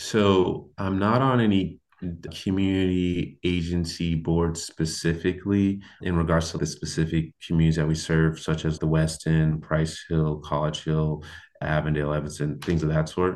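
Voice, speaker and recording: A man with a very deep, low pitch and a West Coast US accent, at a moderate pace with fairly even intonation. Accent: US West Coast (General American). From Portland, Oregon. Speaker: construction company founder. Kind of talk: interview conversation.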